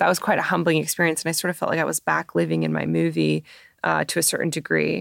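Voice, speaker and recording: A woman with a Canadian accent speaks at a very fast pace. The recording is very clean and dry, close-miked with no echo and a silent background. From Canada, Toronto. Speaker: film director and screenwriter. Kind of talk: interview conversation. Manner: casual with many fillers.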